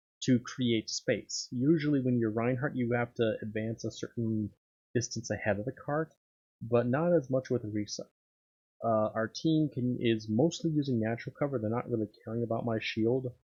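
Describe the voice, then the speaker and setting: This man's voice is somewhat breathy, at a medium pitch. He talks at a moderate pace with ordinary pitch variation. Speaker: gaming commentator. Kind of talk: gameplay commentary. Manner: soft-spoken; halting.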